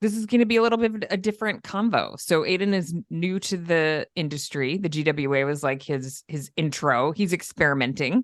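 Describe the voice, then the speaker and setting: Speaking with hardly any pauses, a woman with an upstate New York accent uses lively intonation in a fairly low pitch. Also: fairly quick pace. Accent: upstate New York, mild. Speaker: podcast host. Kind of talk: casual interview chat.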